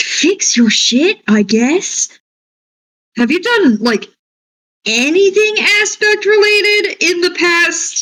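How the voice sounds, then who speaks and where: An extremely high, put-on character voice with very wide pitch swings, a very slow pace, and long, frequent pauses. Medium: actual play. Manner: crude, brash, slangy.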